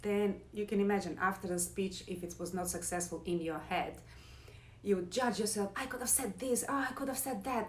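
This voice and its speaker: A woman with a non-native accent speaks at a moderate pace with medium pitch and ordinary pitch variation. The room echo is audible and background noise is noticeable. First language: not English. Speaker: yoga and meditation teacher; former pianist. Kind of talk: casual talk to camera, live. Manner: loud.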